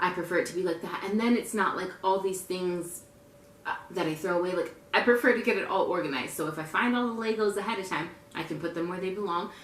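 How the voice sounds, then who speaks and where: Very fast speech from a woman at medium pitch, with ordinary pitch variation, audible room echo and noticeable background noise. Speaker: lifestyle vlogger, military spouse. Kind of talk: casual tutorial vlog. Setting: at home, rocking her baby. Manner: loud; casual, chatty.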